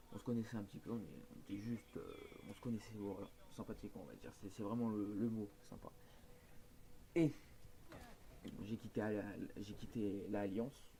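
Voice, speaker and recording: A man's fairly low, dark, mellow voice at a moderate pace, with long, frequent pauses. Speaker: gaming youtuber. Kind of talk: casual rant to viewers. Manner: hesitant, many fillers. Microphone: poor microphone.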